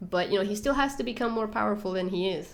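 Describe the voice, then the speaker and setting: With audible room echo around her, a woman talks at a very fast pace in a medium-pitched voice. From Venezuela. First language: Spanish. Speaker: YouTuber, TV show commentator. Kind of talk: live stream Q&A. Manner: halting, many fillers.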